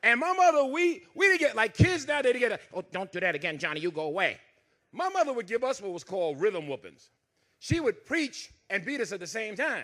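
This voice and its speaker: A man with a Southern US accent speaks at a fairly quick pace in an extremely high pitch, his animated, bright, sharp tone swinging very widely in pitch. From US South, Dothan, Alabama. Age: 60s. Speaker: comedian. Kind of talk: stand-up.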